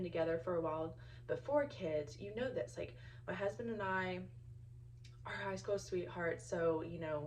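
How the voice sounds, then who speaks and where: A woman at a moderate pace, with audible room echo. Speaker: stay-at-home mom vlogger. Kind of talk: casual vlog talk to camera. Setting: in a car.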